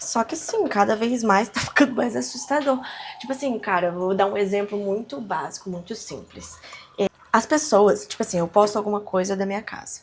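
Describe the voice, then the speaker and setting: Against noticeable background noise, a woman with a medium pitch speaks at a moderate pace in a relaxed tone with lively intonation. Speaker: podcaster / vlogger. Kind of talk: casual monologue. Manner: relaxed, conversational.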